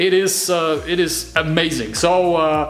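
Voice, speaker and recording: With music in the background and audible room echo, a man with a German accent speaks at a fairly high pitch. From Germany, Munich. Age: 20s. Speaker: hobby motorcycle builder, vlogger. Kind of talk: casual vlog intro. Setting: home workshop. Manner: hesitant, many fillers.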